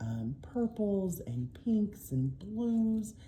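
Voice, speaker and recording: A somewhat breathy woman's voice with an American accent at a very slow pace. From Oklahoma. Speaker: diamond painting YouTuber and English teacher. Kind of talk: casual haul video. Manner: frequent filler ums.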